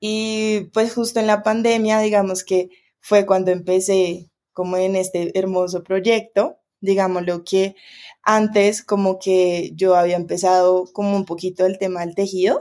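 In a very clean recording with a silent background, a woman at medium pitch speaks in a dark, mellow tone at a fairly slow pace with monotone, flat intonation. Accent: Bogotá. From Colombia, Bogotá. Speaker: macramé artisan and workshop teacher. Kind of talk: casual interview chat.

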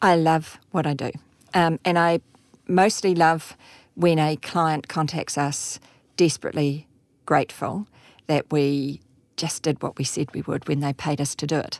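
Set against a silent background in a very clean recording, the speaker talks at a fairly slow pace with a New Zealand accent, fairly even intonation, long, frequent pauses, and a dry, close sound with no echo. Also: woman, very deep, low pitch for a woman. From New Zealand, Auckland. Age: 50s. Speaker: insurance company chief executive. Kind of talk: interview.

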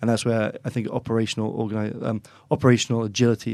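Very fast speech in an English accent with fairly even intonation. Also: man, very clean recording, silent background. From England, Oxford. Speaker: chief executive of a consulting firm. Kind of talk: business discussion.

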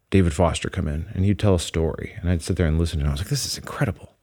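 The recording is very clean with a silent background. A man speaks in a Midwestern accent. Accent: general American Midwest. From US Midwest. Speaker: podcast host and producer. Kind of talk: casual interview chat. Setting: recording studio.

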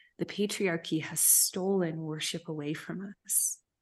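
Over a quiet background, a woman with an American accent has an unremarkable speaking voice set at a fairly low pitch. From US South, Memphis, Tennessee. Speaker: storyteller and leadership coach. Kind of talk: casual chat.

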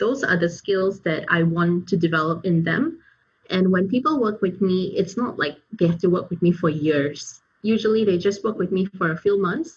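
A woman speaks at a medium pitch with ordinary pitch variation, her voice somewhat breathy and her loudness very even. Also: moderate pace. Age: 30s. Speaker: career coach. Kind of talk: interview.

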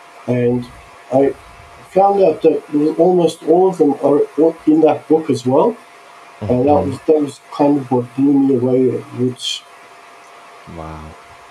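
Over noticeable background noise, a man speaks at a fairly slow pace with long, frequent pauses. His pitch is fairly high, with ordinary variation. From Australia (Sydney), born in Turkey. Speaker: visionary artist. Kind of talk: casual chat.

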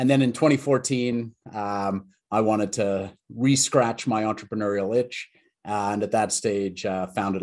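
This speaker has a Canadian accent, with fairly even intonation over a quiet background. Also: man. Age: middle-aged. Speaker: tech entrepreneur. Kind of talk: interview. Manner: halting, many fillers.

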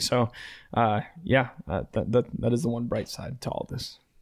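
This man has an unremarkable speaking voice at medium pitch, talking at a moderate pace. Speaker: podcast host. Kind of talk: casual chat.

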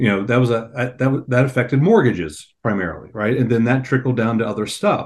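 An ordinary speaking voice, a man of medium pitch going at a fairly quick pace with hardly any pauses. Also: ordinary pitch variation. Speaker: risk management executive. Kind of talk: casual chat.

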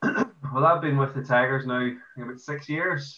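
An Irish accent comes through as a man speaks at a moderate pace. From Ireland. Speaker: amateur football player. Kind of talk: casual interview.

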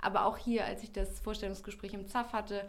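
With audible room echo and noticeable background noise, the recording captures a woman. She talks fairly quickly. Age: 30s. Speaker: public-sector recruitment and marketing officer. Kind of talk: interview. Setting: studio.

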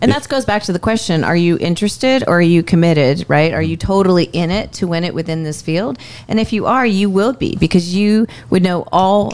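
A woman with an unremarkable speaking voice, fairly low in pitch, at a fairly quick pace with ordinary pitch variation. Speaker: mortgage lender, co-host. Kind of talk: casual podcast conversation.

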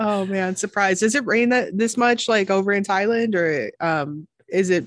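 Against a quiet background, a woman speaks at a moderate pace and a medium pitch. Hers is an unremarkable speaking voice with ordinary pitch variation. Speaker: podcast host. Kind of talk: interview.

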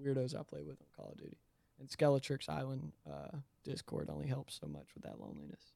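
Speaking at a fairly quick pace, a man shows big swings in loudness. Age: 20s. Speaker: sneaker reseller and fashion guest. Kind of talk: casual chat.

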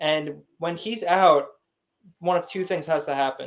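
This is a man. He has an ordinary speaking voice. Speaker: podcast co-host. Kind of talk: casual chat.

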